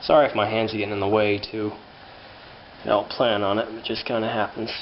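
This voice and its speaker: Here a man talks at a very fast pace with a fairly low pitch. His intonation is monotone and flat. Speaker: hobbyist tractor restorer. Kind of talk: tutorial. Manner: halting, many fillers; casual.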